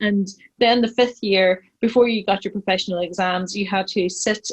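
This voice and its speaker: A woman speaks in a Northern Irish accent at a medium pitch and moderate pace. Her intonation is fairly even, and the sound is dry and close with no echo. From Northern Ireland, County Tyrone. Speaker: pharmacist and business owner. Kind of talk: podcast interview.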